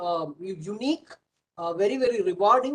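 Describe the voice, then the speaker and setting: Talking at a fairly quick pace with ordinary pitch variation, a man speaks with a Keralan accent. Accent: Indian English (Malayali). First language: Malayalam. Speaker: professor and startup mentor. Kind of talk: webinar panel remarks. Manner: halting, many fillers.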